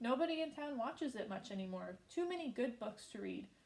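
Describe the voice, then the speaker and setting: Putting on a character voice, a woman talks in a squeaky, high pitch with lively intonation at a fairly quick pace. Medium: read story. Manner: nervous, squeaky.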